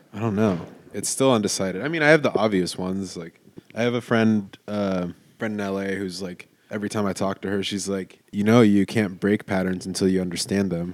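A man speaks at a fairly quick pace in a plain, everyday voice, his fairly low pitch showing ordinary pitch variation. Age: 20s. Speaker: podcast co-host. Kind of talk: casual chat.

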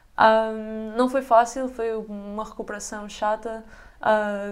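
Her pitch fairly high, a woman talks in a monotone, flat intonation. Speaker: basketball player. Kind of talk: casual chat.

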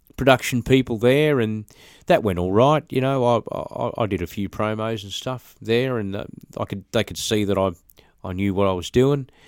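In a very clean recording with a silent background, a man with an Australian accent speaks at a medium pitch with ordinary pitch variation. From Australia, Brisbane (Birkdale). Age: 40s. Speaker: recording studio owner and musician. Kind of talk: interview. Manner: halting, many fillers.

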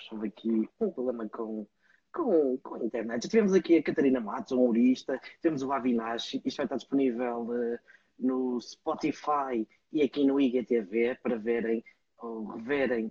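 Someone with a European Portuguese accent talks at a moderate pace with ordinary pitch variation, in a dry, close sound with no echo. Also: man. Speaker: talk show host. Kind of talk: casual chat. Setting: video call.

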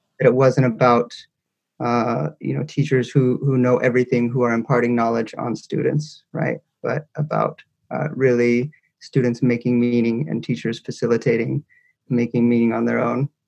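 A man with a Californian accent, at a moderate pace and medium pitch, his intonation fairly even. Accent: Californian American. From Northern California, Ukiah. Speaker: educator and author. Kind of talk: casual interview.

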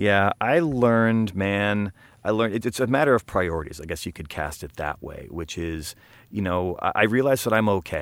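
With an American accent and a normal speaking voice, a man talks at a moderate pace and fairly low pitch with lively intonation, on a very clean recording with a silent background. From eastern US. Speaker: podcast co-host. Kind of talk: casual chat.

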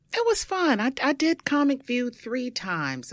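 In a Brooklyn accent, a woman speaks at a fairly slow pace with very wide pitch swings, in a very clean recording with a silent background. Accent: New York (Brooklyn). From Brooklyn, New York. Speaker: stand-up comedian and actress. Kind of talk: casual chat.

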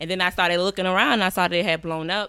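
Music sounds behind a woman whose voice holds a medium pitch. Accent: American. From Savannah, Georgia (US South). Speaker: podcast producer and rapper. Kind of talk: casual interview.

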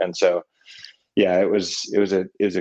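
A man with an American accent at a moderate pace, in a dry, close recording with no echo. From Vermont, US. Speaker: salt maker and business founder. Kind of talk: casual interview chat. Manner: halting, many fillers.

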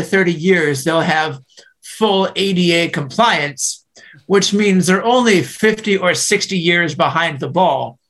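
This man talks at a very slow pace in a high pitch for a man, with ordinary pitch variation. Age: 30s. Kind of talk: interview. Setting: video call.

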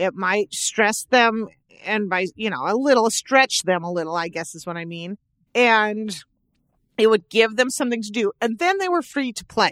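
An unremarkable speaking voice with an American accent moves at a moderate pace with lively intonation. The very clean recording has a silent background and a dry, close sound with no echo. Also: woman, fairly high pitch for a woman, big swings in loudness. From Southern California. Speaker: parenting podcast co-host. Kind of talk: casual chat.

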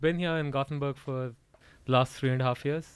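Speaking with an Indian accent, a man keeps fairly even intonation at a fairly high pitch. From Odisha, east coast of India. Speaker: cricket enthusiast guest. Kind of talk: casual chat.

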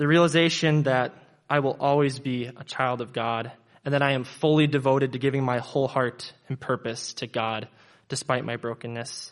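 At a moderate pace, a man talks in a normal speaking voice with fairly even intonation. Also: medium pitch for a man. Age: 20s. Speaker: church member giving baptism testimony. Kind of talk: testimony.

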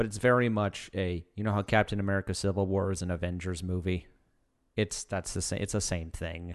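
Talking fairly quickly in a quiet setting, the man has a very deep, low voice and fairly even intonation. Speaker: podcast co-host. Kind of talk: casual chat about movies.

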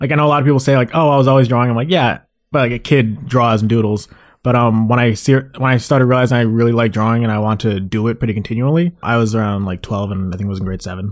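A man of medium pitch at a very fast pace against a quiet background. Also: ordinary pitch variation. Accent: Canadian. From Mississauga, Ontario, Canada. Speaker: comic artist, leader of an art collective. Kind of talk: casual interview.

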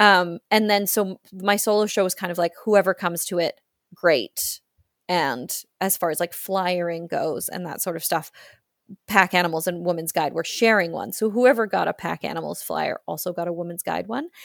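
In a Canadian accent, a woman with a fairly low pitch and vocal fry speaks at a moderate pace with ordinary pitch variation, the sound dry and close with no echo. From rural British Columbia, Canada. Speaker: theatre creator and storyteller. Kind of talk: casual interview. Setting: remote call.

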